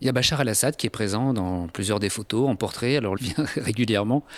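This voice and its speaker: In a very clean recording with a silent background and a dry, close sound with no echo, a man with a normal speaking voice talks fairly quickly at a fairly low pitch with ordinary pitch variation. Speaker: podcast host. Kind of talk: interview question.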